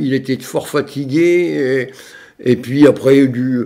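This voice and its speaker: The man's voice is fairly high in pitch. It rises and falls in an ordinary way. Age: 60s. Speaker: retired long-distance cyclist. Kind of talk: interview. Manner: hesitant, many fillers.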